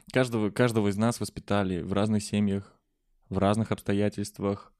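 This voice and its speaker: The recording is very clean, and the background is silent. His voice sits fairly low, and the man keeps his intonation fairly even. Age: 20s. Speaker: podcast host. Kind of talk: casual chat.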